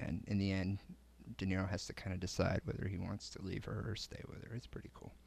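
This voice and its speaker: A man with a very deep, low pitch, vocal fry and an American accent, talking at a very fast pace with ordinary pitch variation. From Connecticut. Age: 20s. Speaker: podcast host. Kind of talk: casual chat.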